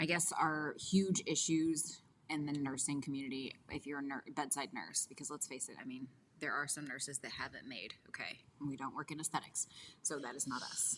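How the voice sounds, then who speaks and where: Mumbling at a fairly quick pace, a woman speaks with very deep, low pitch and fairly even intonation. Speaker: podcast co-host. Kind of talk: casual chat.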